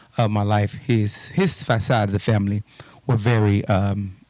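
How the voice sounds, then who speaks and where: A man with an American accent, a fairly low pitch, fairly even intonation, and a dark, mellow tone, in a dry, close sound with no echo. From Texas (Houston, Fifth Ward). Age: 40s. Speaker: police officer. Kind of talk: interview conversation.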